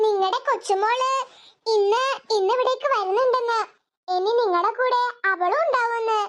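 Here is a cartoonish character voice. Its pitch is extremely high. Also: fairly slow pace. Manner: hesitant, stammering.

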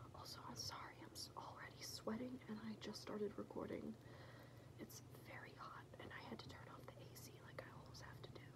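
She talks at a fairly quick pace. The woman is whispering. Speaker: ASMR creator. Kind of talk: ASMR personal attention roleplay. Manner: whispered; fast, chaotic. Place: home room. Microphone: phone near.

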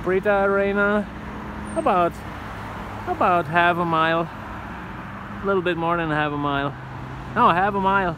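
The pace is fairly slow. The sound is dry with no echo, though there is noticeable background noise. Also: man. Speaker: radio amateur vlogger. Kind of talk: casual vlog chat. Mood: happy, excited. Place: bicycle. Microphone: phone near.

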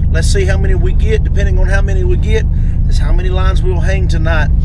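A man talks at a very fast pace. The sound is dry with no echo, but loud background noise is present. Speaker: fishing vlogger. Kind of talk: casual vlog chat. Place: car. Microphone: phone near.

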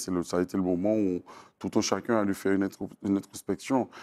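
A man's fairly low-pitched voice at a moderate pace over a quiet background. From Martinique, Fort-de-France; Martinique. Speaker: singer-songwriter and storyteller; interviewee. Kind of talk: interview. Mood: calm, reflective. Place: studio.

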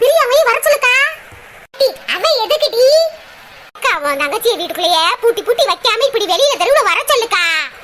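A woman does a cartoonish character voice at an extremely high pitch with very wide pitch swings. She keeps a moderate pace over light background noise. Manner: pushy, coaxing.

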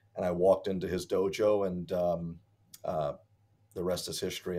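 In an American accent, a man with a very deep, low pitch speaks at a moderate pace. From Hartford, Connecticut, US; Connecticut. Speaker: martial arts instructor. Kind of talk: interview. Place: home room.

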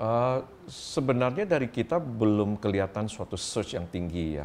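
Against light background noise, a man with a fairly low voice speaks at a moderate pace with lively intonation. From Indonesia. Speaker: company founder and CEO. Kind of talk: interview. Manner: halting. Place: home room.

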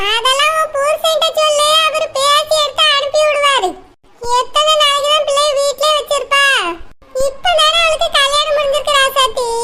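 A woman performs a cartoonish character voice at an extremely high pitch. She keeps a moderate pace and very even loudness. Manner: calm, warm.

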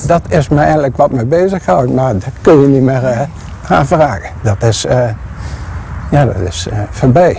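Medium pitch for a man, with vocal fry, a dark, mellow tone, lively intonation and a moderate pace over faint background noise.

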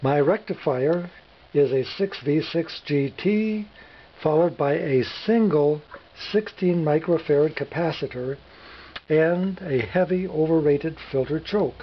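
Very slow speech over light background noise. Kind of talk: tutorial. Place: workshop.

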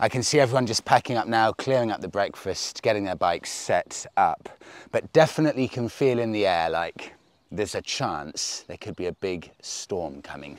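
With lively intonation and a moderate pace, a man speaks against a quiet backdrop. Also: big swings in loudness, dry sound with no echo. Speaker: motorcycle road trip vlogger. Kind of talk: casual vlog chat. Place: open country.

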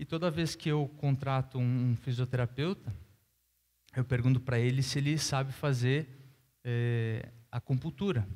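With a southern Brazilian accent, a man speaks at a fairly slow pace, somewhat breathy, leaving long, frequent pauses. His intonation is fairly even, and his loudness stays very even. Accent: gaúcho Brazilian Portuguese. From southern Brazil, Rio Grande do Sul (Caxias do Sul); Rio Grande do Sul, Brazil. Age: 30s. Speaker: professional tennis player; guest. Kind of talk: panel interview on stage; interview answer on panel. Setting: stage with audience. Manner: hesitant, with fillers. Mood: relaxed, smiling, candid. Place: stage. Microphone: headset.

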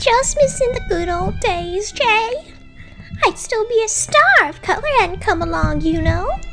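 Over clear music in the background, a woman uses a put-on character voice at an extremely high pitch and a fairly slow pace.

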